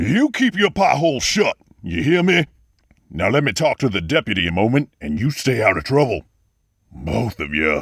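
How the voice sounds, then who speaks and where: Putting on a character voice, a man sounds raspy and gruff at a medium pitch, with very wide pitch swings. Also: moderate pace, dry, close sound with no echo. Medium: audio drama. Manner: gruff, bullying.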